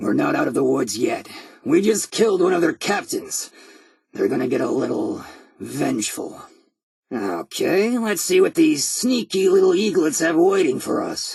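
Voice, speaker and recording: A raspy, high-pitched put-on character voice from a man at a moderate pace. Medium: video game. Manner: sardonic, dry humor.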